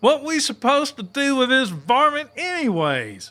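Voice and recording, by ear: A man uses a put-on character voice at an extremely high pitch, with big pitch swings. His tone is bright and sharp, and his pace is fairly slow.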